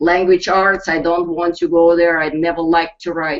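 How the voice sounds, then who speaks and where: A woman's fairly low voice with a Russian accent. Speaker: network marketing team leader. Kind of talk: webinar pep talk. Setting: live online broadcast. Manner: animated.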